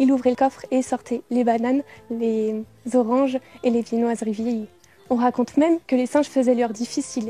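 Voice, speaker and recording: Over music in the background, a woman talks at a moderate pace in a high voice with fairly even intonation, the sound dry and close with no echo. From Moselle, France. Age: 20s. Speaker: beauty pageant contestant. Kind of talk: scripted narration.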